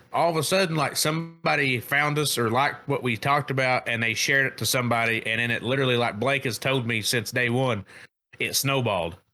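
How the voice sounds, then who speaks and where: A man talks at a fairly quick pace with lively intonation and a medium pitch. Music plays in the background. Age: 30s. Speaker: podcast co-host. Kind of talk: casual chat. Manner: loud; animated.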